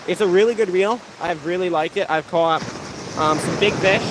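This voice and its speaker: With noticeable background noise behind him, a man talks at a fairly quick pace in a high pitch. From Pennsylvania. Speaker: fishing YouTuber. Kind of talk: live stream chat. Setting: outdoors on a beach. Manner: casual.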